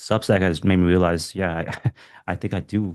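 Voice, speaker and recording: A man with a very deep, low pitch and a non-native accent speaks at a moderate pace. His intonation is fairly even, and the background is quiet. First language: not English. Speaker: writer. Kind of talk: casual chat. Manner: halting.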